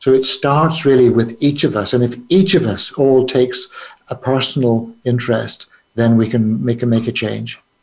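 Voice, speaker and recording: This man talks at a moderate pace with a Northern Irish accent. His pitch is medium, with ordinary variation. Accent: Northern Irish (Belfast). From Northern Ireland, Belfast. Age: 70s. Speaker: businessman and trauma charity founder. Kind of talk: interview. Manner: halting, frequent fillers.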